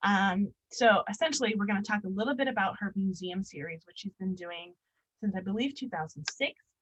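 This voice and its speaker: Here a woman speaks at a medium pitch with ordinary pitch variation. The sound is dry and close with no echo, and her voice is somewhat breathy. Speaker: curator and visual artist giving a talk. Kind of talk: public lecture presentation. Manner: fast; many filler ums.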